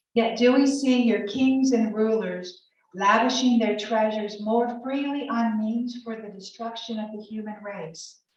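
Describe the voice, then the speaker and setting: With a Southern US accent, a woman talks at a fairly slow pace in a fairly high voice, her intonation fairly even, her loudness swinging widely and hardly any pauses in between. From Alabama. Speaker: college professor. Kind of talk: scripture reading.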